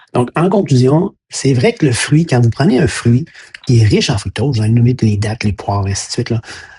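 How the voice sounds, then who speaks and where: With a Quebec accent, a man speaks in a somewhat breathy voice with lively intonation, the sound dry and close with no echo. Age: 60s. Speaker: health educator, former science teacher. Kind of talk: educational monologue. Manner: hesitant, many fillers and repetitions.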